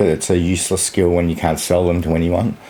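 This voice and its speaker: A man with an Australian accent talks at a fairly quick pace. His pitch is very deep and low, set against noticeable background noise. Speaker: vlogger. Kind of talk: casual vlog monologue.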